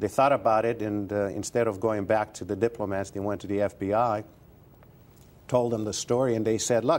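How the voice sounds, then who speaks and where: In a Romanian accent, a man with a fairly low pitch speaks at a fairly quick pace with fairly even intonation. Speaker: retired advertising executive and author. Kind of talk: interview.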